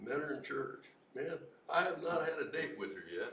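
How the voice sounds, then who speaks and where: Room echo is audible as a man talks at a moderate pace against noticeable background noise. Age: 70s. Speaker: Vietnam veteran. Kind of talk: open mic testimony. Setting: recovery meeting open mic, livestreamed.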